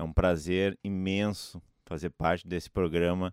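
A man speaks at a fairly slow pace with a very deep, low pitch and monotone, flat intonation. The recording is very clean with a silent background and a dry, close sound with no echo. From Rio Grande do Sul, Santa Maria. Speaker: drummer and music educator. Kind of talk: interview.

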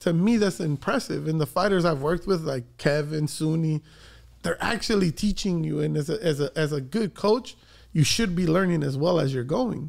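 At a moderate pace, a man with a fairly high pitch talks in a normal speaking voice with ordinary pitch variation on a very clean recording with a silent background. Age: 30s. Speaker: boxing coach. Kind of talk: casual chat.

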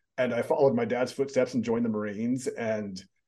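A man speaks with an American accent and a dark, mellow tone at medium pitch. His intonation is fairly even over a quiet background. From US, military bases in US and overseas. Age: 50s. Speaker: author and personal development speaker. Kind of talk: interview.

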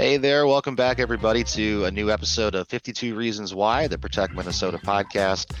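The speaker has a plain, everyday voice, with lively intonation, a fairly quick pace and hardly any pauses. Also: man, fairly low pitch for a man. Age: 30s. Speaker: podcast host and advocacy organizer. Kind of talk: interview.

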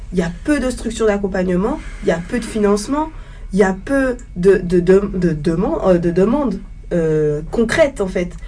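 A woman's medium-pitched, lively voice at a fairly slow pace, with audible room echo and noticeable background noise. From Guadeloupe (Le Gosier). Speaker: student. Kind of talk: panel discussion.

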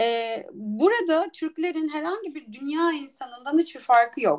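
Speaking at a fairly slow pace, a woman makes very wide pitch swings. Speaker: entrepreneur and startup mentor. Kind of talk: interview.

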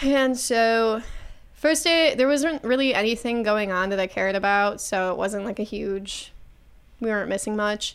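A woman with a fairly high pitch and ordinary pitch variation talks at a moderate pace in a plain, everyday voice, recorded very cleanly with a silent background. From Buffalo, New York. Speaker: stand-up comedian. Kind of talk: casual chat. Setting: studio.

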